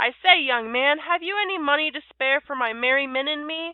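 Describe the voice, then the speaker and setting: A woman's put-on character voice, raised and projected, high in pitch at a fairly quick pace. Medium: read story.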